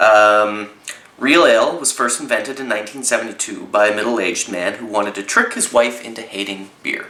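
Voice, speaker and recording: The speaker talks fairly quickly with a Canadian accent and big swings in loudness. Audible room echo and noticeable background noise surround the voice. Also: man. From Canada. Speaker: zine reviewer. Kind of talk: casual review. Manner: hesitant, many fillers.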